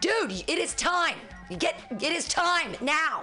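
Over clear background music, a female-sounding voice in a put-on character voice speaks loudly and very slowly at an extremely high pitch. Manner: loud, scolding, displeased.

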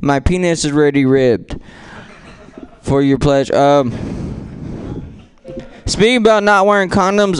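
Over noticeable background noise, a man talks at a fairly slow pace. His loudness stays very even. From San Francisco, Filipino heritage. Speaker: stand-up comedian. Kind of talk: stand-up. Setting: stage with audience.

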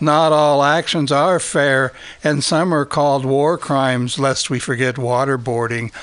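There is noticeable background noise as the speaker goes at a fairly slow pace. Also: man. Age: old. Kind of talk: casual chat.

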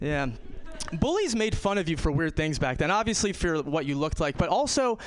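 Over noticeable background noise, a man with an American accent speaks at a fairly quick pace in a high pitch with lively intonation. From New York. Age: 30s. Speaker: stand-up comedian. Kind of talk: stand-up. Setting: stage with audience.

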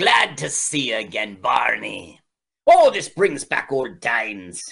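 In a put-on character voice with an Irish accent, a man speaks at a medium pitch and a fairly slow pace.

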